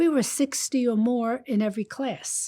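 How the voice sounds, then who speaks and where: On a very clean recording with a silent background, a woman with a New York accent speaks very slowly in a dark, mellow tone. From Brooklyn, New York. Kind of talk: interview testimony.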